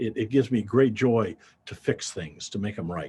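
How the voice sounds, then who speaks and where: A man speaks. His voice is somewhat breathy. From US Midwest, Davenport, Iowa. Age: 70s. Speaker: accountant and payroll business owner. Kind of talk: interview. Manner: halting, with repeated words.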